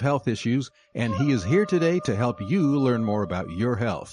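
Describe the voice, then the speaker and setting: Music plays behind a man whose moderately paced speech has lively intonation. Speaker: program announcer. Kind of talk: radio program intro announcement.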